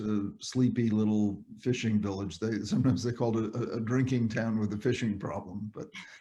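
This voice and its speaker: A man's medium-pitched voice with an American accent and a dark, mellow tone, at a moderate pace with fairly even intonation. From New England, Cape Cod, Massachusetts. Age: 70s. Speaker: psychiatrist and author. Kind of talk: interview storytelling.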